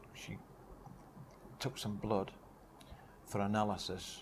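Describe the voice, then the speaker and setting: With a Manchester accent, a man speaks at a fairly low pitch and a very slow pace. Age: 70s. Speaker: cancer patient. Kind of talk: testimony.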